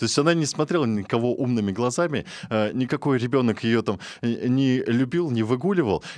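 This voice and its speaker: A man's normal speaking voice at a medium pitch and moderate pace, with ordinary pitch variation, very even loudness, and a quiet background. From Russian countryside. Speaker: radio host. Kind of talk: talk radio discussion. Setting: studio.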